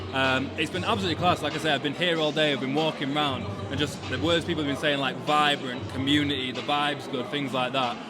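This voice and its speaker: A man's fairly high voice at a very fast pace, fairly even in intonation with hardly any pauses, amid noticeable background noise and audible room echo. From Yorkshire, near Leeds. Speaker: sneaker podcast host. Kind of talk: casual event interview. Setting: live sneaker event.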